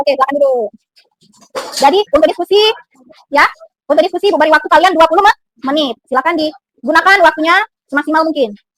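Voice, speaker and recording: In an extremely high pitch, a woman speaks at a very fast pace with an upbeat tone, ordinary pitch variation and very even loudness. Long, frequent pauses break up her speech, and the sound is dry and close with no echo. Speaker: biology teacher. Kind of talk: classroom teaching to students. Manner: upbeat, encouraging.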